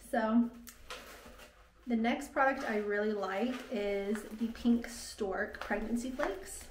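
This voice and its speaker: With an American accent, a woman speaks at a very slow pace and a fairly high pitch, with ordinary pitch variation. Noticeable background noise is present. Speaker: vlogger. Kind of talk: casual vlog talk to camera.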